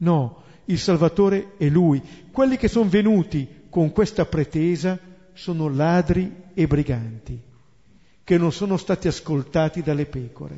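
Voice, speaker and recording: With lively intonation, a man speaks in a high pitch. His pace is fairly slow, broken by long, frequent pauses. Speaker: Bible teacher. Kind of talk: lecture.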